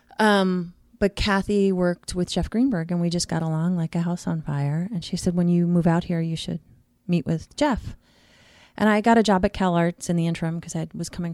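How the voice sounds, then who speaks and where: A woman with an American accent talks at a fairly quick pace in a fairly low pitch, her intonation fairly even, on a very clean recording with a silent background and a dry, close sound with no echo. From Queens, New York. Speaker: casting director. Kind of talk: casual chat.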